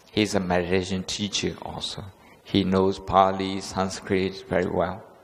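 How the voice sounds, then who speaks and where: The delivery is monotone and flat at a fairly slow pace, with audible room echo. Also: man, very deep, low pitch for a man. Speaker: Buddhist monk teacher. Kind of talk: lecture. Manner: halting, many fillers.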